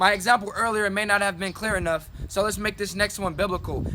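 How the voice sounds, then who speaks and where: A man's raised, projected voice, high-pitched and very fast, with music in the background. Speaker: spoken word poet. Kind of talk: spoken word poetry performance, often in call-and-response with a partner.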